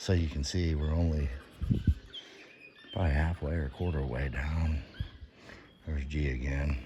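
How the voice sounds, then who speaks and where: Whispering at a moderate pace with long, frequent pauses, a man is heard amid audible room echo and noticeable background noise. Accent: American. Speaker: vlogger, former coal miner. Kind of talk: casual vlog narration. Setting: underground cave tour. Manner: normally loud and talkative.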